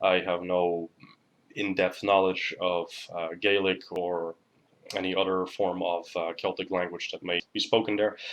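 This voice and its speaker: Very deep, low male voice, monotone and flat, at a fairly slow pace. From Netherlands. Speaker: pagan spirituality youtuber. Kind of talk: informal lecture. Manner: hesitant with many fillers.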